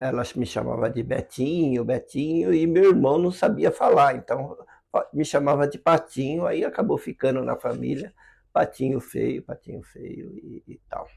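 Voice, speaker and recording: His loudness swinging widely, a man speaks at a fairly slow pace. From interior of São Paulo state, Brazil. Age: 60s. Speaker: filmmaker and producer. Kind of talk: interview, personal storytelling. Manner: hesitant, with many fillers.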